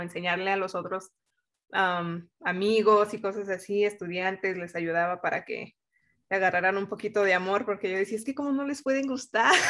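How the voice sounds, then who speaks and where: The background is quiet. The speaker talks with a Mexican accent. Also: woman. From Mexico. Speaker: engineer. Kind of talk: interview.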